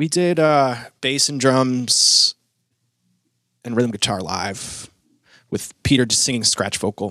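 Speaking very slowly with long, frequent pauses, a man with an American accent uses lively intonation at a medium pitch in a very clean recording with a silent background. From Maine, US. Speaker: musician. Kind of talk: casual interview.

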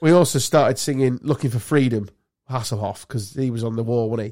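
A man with an English accent talks at a fairly quick pace. His medium pitch shows ordinary variation. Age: 50s. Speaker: podcast host. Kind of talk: casual chat.

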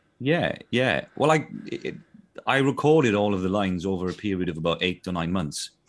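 A man's fairly low voice, fairly quick in pace, with very wide pitch swings. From South Wales. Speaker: voice actor. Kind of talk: casual interview. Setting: video call.

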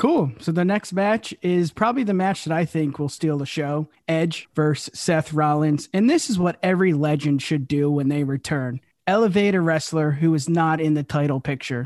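An unremarkable speaking voice from a man at a fairly high pitch, moderate in pace with hardly any pauses and ordinary pitch variation, dry and close with no echo against a quiet background. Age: 30s. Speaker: wrestling podcast host. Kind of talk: casual chat.

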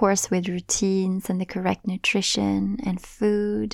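At a fairly slow pace, a woman with a slight Swedish accent speaks at medium pitch in a dark, mellow tone on a very clean recording with a silent background. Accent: light Swedish-accented English. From Sweden. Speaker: podcast host and meditation guide. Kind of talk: casual solo podcast monologue.

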